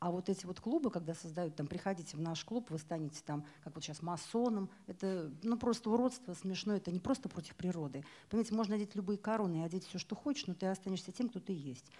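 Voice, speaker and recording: A woman with a medium-pitched, somewhat breathy voice and a dark, mellow tone talks very fast with lively intonation. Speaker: event presenter; presenter. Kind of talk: event moderation. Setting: bookstore stage with audience. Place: hall. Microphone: handheld.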